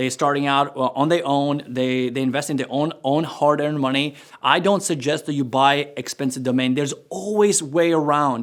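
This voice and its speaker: A man with a non-native accent speaks with hardly any pauses. His pitch is fairly high, with ordinary variation. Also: moderate pace. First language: not English. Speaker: entrepreneur and course creator. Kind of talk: tutorial. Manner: casual, conversational.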